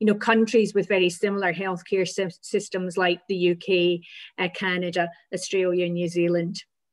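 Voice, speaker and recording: In a Scottish accent, a woman at medium pitch speaks at a moderate pace with monotone, flat intonation against a quiet background. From Scotland. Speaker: physiotherapy lecturer. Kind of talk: presentation. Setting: video call.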